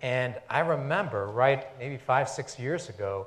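Somewhat breathy, a man speaks at medium pitch. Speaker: immigrant rights advocate; panelist. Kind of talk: panel discussion. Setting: stage with audience. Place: stage. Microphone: lapel.

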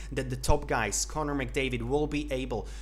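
A man with a Slovak accent, light background noise behind him. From Slovakia. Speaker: hockey YouTuber. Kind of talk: solo commentary video. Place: home room.

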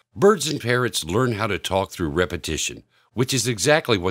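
In a very clean recording with a silent background, a man uses an ordinary speaking voice, moderate in pace, with lively intonation. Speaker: app developer and bird enthusiast. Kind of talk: infomercial-style sales pitch for an app. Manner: upbeat, polished salesman delivery with hyped superlatives.

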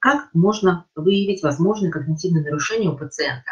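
A somewhat breathy woman at a moderate pace, with lively intonation and a quiet background. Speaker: associate professor of neurology. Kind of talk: lecture. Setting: video call. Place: home room. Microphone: webcam.

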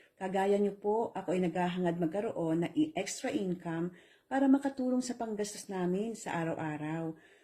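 A woman speaks at a moderate pace in a dark, mellow, somewhat breathy tone with lively intonation. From Philippines. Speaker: online business promoter. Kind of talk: sales pitch.

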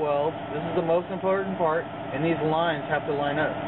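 A man over loud background noise. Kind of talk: tutorial. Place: garage. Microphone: phone near.

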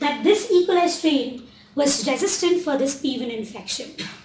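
Audible room echo surrounds a woman with a high pitch and very wide pitch swings. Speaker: postdoctoral researcher giving a talk; presenter. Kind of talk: lecture. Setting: library lecture room with audience. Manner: fast. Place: hall. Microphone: camera far.

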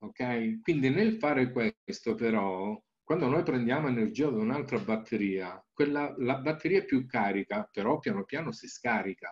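A man's medium-pitched voice with very wide swings in pitch. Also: moderate pace. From Calabria, southern Italy. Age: 60s. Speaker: naturopath and Reiki teacher; Reiki teacher. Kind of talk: presentation with slides. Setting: video call. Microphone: webcam.

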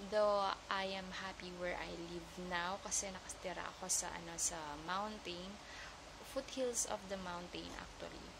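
A woman speaks at a fairly slow pace with ordinary pitch variation, and noticeable background noise can be heard. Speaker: vlogger. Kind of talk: casual vlog chat. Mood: relaxed, laughing at times. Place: home room. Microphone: earbuds.

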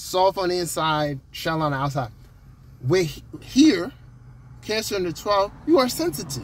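Here is a man with a high pitch, talking at a moderate pace. He leaves long, frequent pauses, and the sound is dry with no echo. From Jamaica. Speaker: astrologer. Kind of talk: casual monologue video. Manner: conversational, filler-heavy. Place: car. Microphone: phone near.

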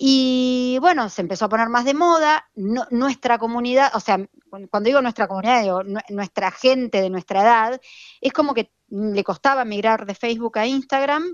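A plain, everyday voice from a woman at a fairly high pitch, with ordinary pitch variation and a moderate pace. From Buenos Aires, Argentina. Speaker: fashion influencer, accountant. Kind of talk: casual interview. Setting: remote call.

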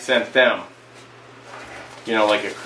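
A man talks with a bright, sharp tone. There is audible room echo.

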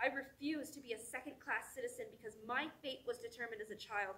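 A woman's raised, projected voice with a bright, sharp tone at a moderate pace. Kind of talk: spoken word poetry reading. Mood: defiant, determined. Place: stage. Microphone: camera far.

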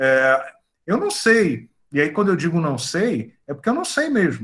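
With a high pitch, a man speaks at a fairly slow pace over a quiet background. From Bahia, Brazil. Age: 50s. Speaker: chemical engineering professor. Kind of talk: casual chat. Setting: video call. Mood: calm, thoughtful. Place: home room. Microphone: video call.

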